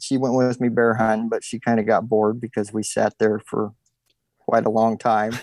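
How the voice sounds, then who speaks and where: A man at medium pitch and moderate pace, in a normal speaking voice, with a dry, close sound and no echo. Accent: American. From Oregon. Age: 40s. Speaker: deer hunter. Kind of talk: casual interview.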